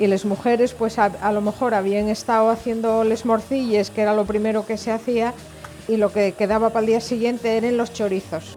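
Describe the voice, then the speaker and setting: Over noticeable background noise, a woman with a fairly high pitch speaks at a fairly quick pace in a monotone, flat intonation, her loudness very even. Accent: Asturian. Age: 60s. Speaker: interviewee. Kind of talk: personal reminiscence. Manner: halting.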